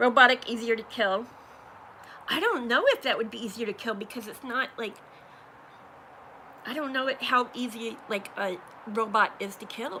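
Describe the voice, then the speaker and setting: Speaking at a moderate pace with fairly even intonation, a woman with a fairly high voice leaves long, frequent pauses while her loudness swings widely over noticeable background noise. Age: 50s. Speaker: YouTuber, livestream host. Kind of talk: casual livestream chat.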